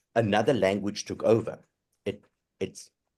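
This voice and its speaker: A man with a fairly low pitch and a South African accent. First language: Afrikaans. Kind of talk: casual chat.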